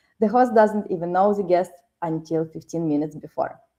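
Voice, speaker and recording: Her dark, mellow tone carries lively intonation as this woman speaks. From Ukraine. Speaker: podcast host. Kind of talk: show intro and sponsor reads.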